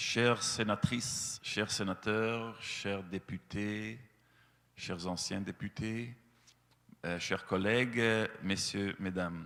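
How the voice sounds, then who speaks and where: A man's very slow, fairly low voice with a Belgian accent and fairly even intonation. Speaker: animal-rights association representative. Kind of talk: speech to lawmakers. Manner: hesitant, many fillers.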